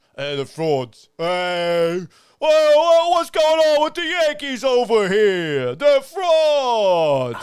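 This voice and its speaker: A man's put-on character voice in a Boston accent, extremely high-pitched, with very wide pitch swings and a very slow pace. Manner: mocking, taunting.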